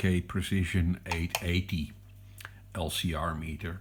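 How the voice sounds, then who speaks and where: A man's very slow speech in a Dutch accent. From Netherlands. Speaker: electronics hobbyist. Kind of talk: product review. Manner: hesitant.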